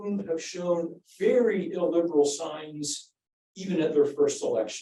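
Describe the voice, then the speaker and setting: A man with a dark, mellow tone and a high pitch talks at a fairly slow pace. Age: 60s. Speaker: political science professor, book editor. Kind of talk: panel discussion answer. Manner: halting, many fillers.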